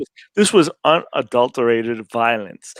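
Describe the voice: Recorded with a dry, close sound and no echo, a man talks at a fairly slow pace in a medium pitch, his intonation lively.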